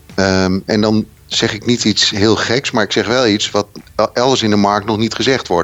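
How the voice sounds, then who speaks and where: A man talks at a moderate pace in a fairly low pitch. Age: 50s. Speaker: sustainability consultant and local politician. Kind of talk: interview. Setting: phone call. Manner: animated.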